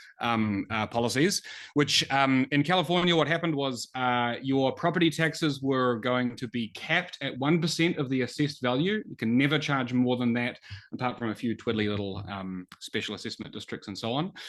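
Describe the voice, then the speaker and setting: A man speaks with a New Zealand accent at a medium pitch. His pace is fairly quick and his intonation lively. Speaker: economist, think tank researcher. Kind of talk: webinar presentation. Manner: many filler words (um, uh).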